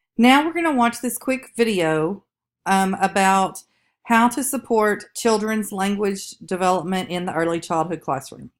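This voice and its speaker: A woman speaks with a strong Southern US accent at a fairly slow pace. The recording is very clean, with a silent background. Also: medium pitch for a woman, lively intonation. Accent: strong Southern drawl. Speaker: college instructor. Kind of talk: recorded lecture. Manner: casual with fillers.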